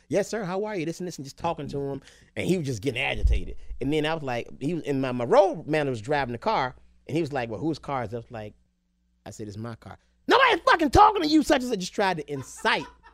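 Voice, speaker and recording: Speaking very fast with an American accent, a man uses a fairly high pitch, very wide pitch swings and big shifts in loudness. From Alabama (Tuscaloosa). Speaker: comedian. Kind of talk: casual chat. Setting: studio.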